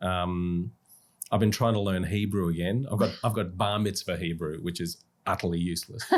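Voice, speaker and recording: Very deep, low male voice in an Australian accent. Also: moderate pace. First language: Russian. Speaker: musical theatre actor. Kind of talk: podcast interview. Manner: animated.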